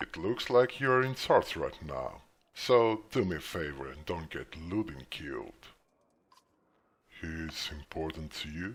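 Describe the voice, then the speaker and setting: Using a put-on character voice, a man talks at a fairly slow pace with a very deep, low pitch. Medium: game stream.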